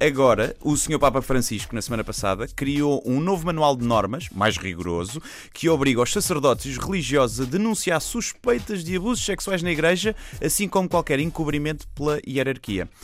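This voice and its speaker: A man with a European Portuguese accent speaks at a fairly high pitch with vocal fry. His pitch swings very widely. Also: moderate pace, very clean recording, silent background. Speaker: comedian. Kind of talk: satirical radio commentary.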